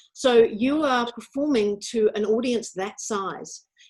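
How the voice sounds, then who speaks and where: This is a plain, everyday voice, a woman's with a fairly high pitch and ordinary pitch variation. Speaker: interviewer and radio presenter. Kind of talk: conversational interview talk.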